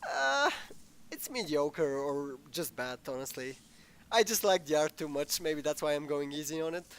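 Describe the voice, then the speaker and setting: A man speaks with a fairly high pitch. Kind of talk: casual gameplay commentary.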